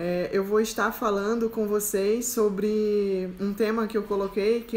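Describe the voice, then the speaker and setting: A woman with a Recife accent and a fairly high pitch speaks at a fairly slow pace, with audible room echo around her. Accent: Recife accent, capital-city Pernambuco. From interior of Pernambuco, Brazil (Araripina). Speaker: self-knowledge coach. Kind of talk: live stream Q&A talk. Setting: live stream.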